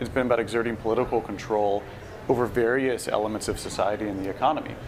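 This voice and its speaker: Over noticeable background noise, a man with an American accent talks at a very fast pace and a medium pitch, his intonation fairly even. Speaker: bitcoin industry executive. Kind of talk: casual chat. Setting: live stream at a festival.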